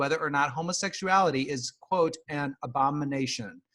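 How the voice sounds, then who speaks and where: A man with an American accent, an ordinary speaking voice, ordinary pitch variation and a moderate pace. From Nebraska. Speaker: podcast host. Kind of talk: casual chat.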